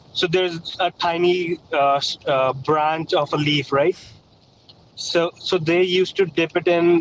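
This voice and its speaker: A man with a non-native accent speaks very slowly, his pitch high and his intonation fairly even. His loudness stays very even, the sound is dry and close with no echo, and background noise is noticeable. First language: not English. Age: 30s. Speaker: caller. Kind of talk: debate. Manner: halting.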